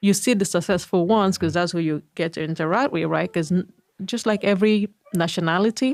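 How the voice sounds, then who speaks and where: At a fairly quick pace, a woman with a Nigerian accent speaks at medium pitch with ordinary pitch variation. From Nigeria, Igbo, eastern Nigeria. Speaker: physician. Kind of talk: interview conversation.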